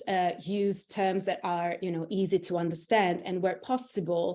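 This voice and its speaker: A woman with an Italian accent and a dark, mellow tone speaks over a quiet background. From Italy. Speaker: internal communications executive. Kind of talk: interview. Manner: halting, many fillers.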